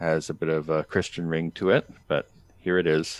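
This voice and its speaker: A man with a very deep, low pitch speaks in a Canadian accent. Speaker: podcast host. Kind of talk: casual chat.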